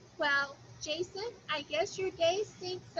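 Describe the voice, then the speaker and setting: A woman's extremely high, put-on character voice at a fairly slow pace, with clear background noise. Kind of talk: read-aloud of a children's novel. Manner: mocking imitation.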